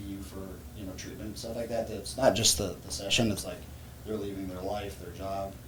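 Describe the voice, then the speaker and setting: At a fairly quick pace, a man talks at a fairly low pitch in an ordinary speaking voice. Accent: American. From Louisiana, USA. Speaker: physical therapist. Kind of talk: podcast interview answer.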